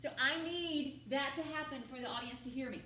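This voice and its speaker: A loud woman's voice, high-pitched, at a moderate pace with ordinary pitch variation and audible room echo. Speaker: drama teacher. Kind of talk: classroom lecture. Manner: loud, projecting.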